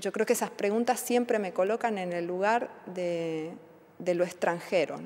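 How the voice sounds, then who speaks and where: A woman speaks at a fairly slow pace, her pitch medium. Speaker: immigrant interviewee. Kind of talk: interview testimony. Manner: halting, with fillers.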